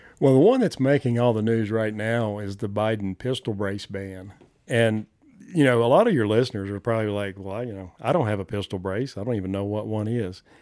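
A man talks at a fairly quick pace with a Southern US accent. His voice is fairly low in pitch, with a dark, mellow tone. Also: ordinary pitch variation. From US South, southern Appalachians. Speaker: gun rights advocate, former wildlife biologist. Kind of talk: casual interview chat.

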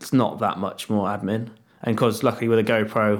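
A man with an English accent, fairly low in pitch, very fast and monotone with flat intonation. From England. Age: 30s. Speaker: freeride mountain bike rider. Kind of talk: casual chat.

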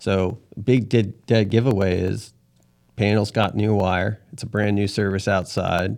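A man talks in a normal speaking voice, fairly low in pitch and fairly slow. His intonation is fairly even, on a very clean recording with a silent background. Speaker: electrician and business owner. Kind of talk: casual interview chat.

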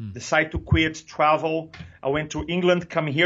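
At a moderate pace, a man with a Brazilian accent speaks in a fairly high pitch with fairly even intonation. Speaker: public speaking coach. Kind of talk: interview.

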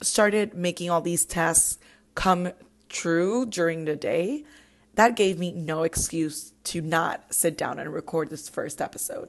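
A woman talks at a medium pitch in a Puerto Rican accent. Her pitch varies in an ordinary way. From Puerto Rico. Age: 20s. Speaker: podcast host. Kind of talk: casual monologue.

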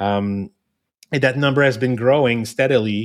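A man with a French-Canadian accent, medium-pitched, at a moderate pace with fairly even intonation, on a very clean recording with a silent background. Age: 50s. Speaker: inclusion consultant. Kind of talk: interview.

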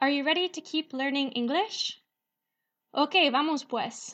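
Against a quiet background, a woman with a high pitch talks at a fairly slow pace with ordinary pitch variation. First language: English (speaking Spanish). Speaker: English teacher podcast host. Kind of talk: language lesson.

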